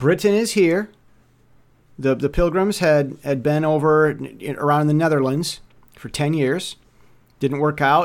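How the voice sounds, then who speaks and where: On a very clean recording with a silent background, a man with an American accent speaks fairly slowly at a fairly high pitch with ordinary pitch variation and long, frequent pauses. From United States. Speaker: podcaster. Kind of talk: monologue commentary. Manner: halting.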